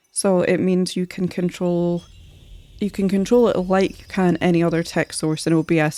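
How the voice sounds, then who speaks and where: A woman with a Scottish accent, fairly low in pitch, dark and mellow in tone, with fairly even intonation, on a very clean recording with a silent background. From Scotland. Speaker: streamer and artist. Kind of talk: casual live-stream chat. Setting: live stream.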